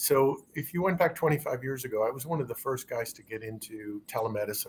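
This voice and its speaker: A man's somewhat breathy voice at a very fast pace, with ordinary pitch variation. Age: 60s. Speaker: physician. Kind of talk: interview.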